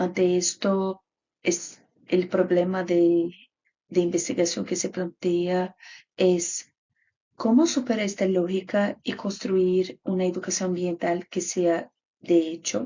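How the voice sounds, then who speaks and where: Very slow speech in a Brazilian accent with fairly even intonation. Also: woman, medium pitch for a woman. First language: Portuguese (speaking Spanish). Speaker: graduate student researcher. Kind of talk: conference presentation. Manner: halting.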